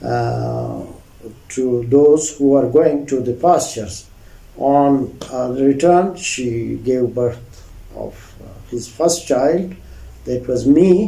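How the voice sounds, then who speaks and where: A man talks very slowly with ordinary pitch variation and long, frequent pauses, in a room with audible echo. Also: medium pitch for a man. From Hunza, Gilgit-Baltistan, northern Pakistan. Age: 60s. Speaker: retired senior civil servant. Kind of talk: interview. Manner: hesitant, many fillers.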